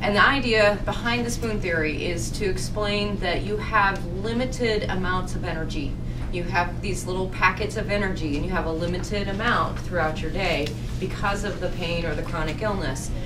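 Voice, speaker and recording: Moderate pace from a female speaker, with noticeable noise in the background. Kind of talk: lecture. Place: meeting room.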